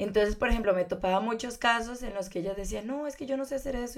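This woman talks at a very fast pace. Her pitch sits fairly high, with ordinary variation. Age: 20s. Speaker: fashion designer. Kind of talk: casual interview.

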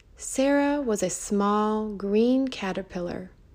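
A very slow, gentle tone with ordinary pitch variation and audible room echo. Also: woman. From Mexico. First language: Spanish. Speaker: children's storyteller. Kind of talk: storytelling for children. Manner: gentle, slow storytelling.

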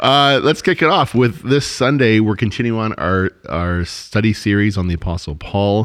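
Here a man talks in a plain, everyday voice, with a fairly low pitch. He keeps a moderate pace with lively intonation. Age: 40s. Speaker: church podcast host. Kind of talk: casual chat.

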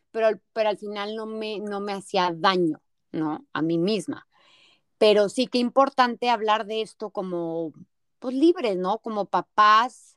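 A woman with a plain, everyday voice, fairly high in pitch, at a fairly slow pace with ordinary pitch variation, dry and close with no echo on a very clean recording with a silent background. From Mexico, Torreón, Coahuila. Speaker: podcast host. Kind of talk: interview.

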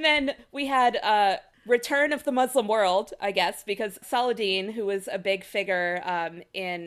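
The recording is very clean, with a silent background. A woman speaks in an unremarkable speaking voice with ordinary pitch variation. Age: 30s. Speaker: lawyer. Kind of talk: casual chat.

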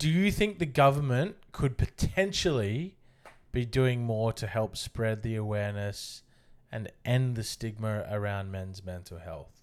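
A man with an Australian accent at a fairly slow pace and medium pitch, lively in intonation, on a very clean recording with a silent background. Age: 30s. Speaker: podcast host. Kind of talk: casual chat.

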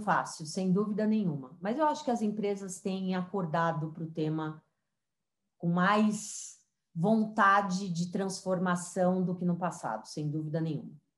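A woman speaks fairly slowly in a somewhat breathy voice of medium pitch, with ordinary pitch variation. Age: 40s. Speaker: diversity and digital transformation consultant. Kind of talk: interview.

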